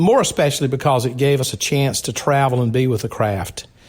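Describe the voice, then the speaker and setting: A man with a Southern US accent talks at a fairly quick pace with a medium pitch and ordinary pitch variation. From South Carolina. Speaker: fraternal organization leader. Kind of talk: interview.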